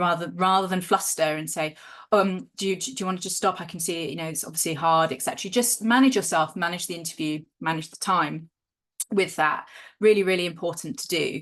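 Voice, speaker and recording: A woman with fairly low pitch and ordinary pitch variation talks at a fairly quick pace with big swings in loudness, over a quiet background. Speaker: academic research trainer. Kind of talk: training workshop lecture. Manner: fast.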